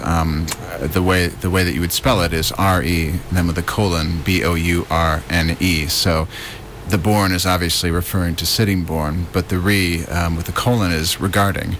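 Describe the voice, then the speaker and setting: With an American accent, a man speaks at a moderate pace in a very deep, low pitch, with fairly even intonation and hardly any pauses. Noticeable background noise is present. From US Midwest, Detroit area. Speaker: writer and arts producer. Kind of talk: radio interview. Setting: radio studio.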